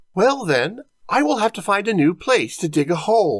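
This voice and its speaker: A man puts on a character voice, pitched high for a man. He speaks at a moderate pace. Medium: read story.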